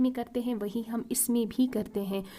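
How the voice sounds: Fairly high in pitch yet dark and mellow in tone, a woman speaks at a moderate pace with fairly even intonation.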